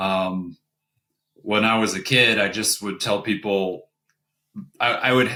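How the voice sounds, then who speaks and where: In a bright, sharp tone, a man speaks at a fairly low pitch with fairly even intonation. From US South. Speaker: airline pilot. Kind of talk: casual chat.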